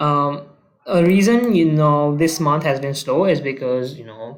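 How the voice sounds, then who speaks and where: A man's fairly high-pitched voice at a fairly slow pace, with ordinary pitch variation and audible room echo. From developing country. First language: not English. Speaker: marketing consultant. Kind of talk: casual talking-head case study walkthrough. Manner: casual, hesitant with many fillers.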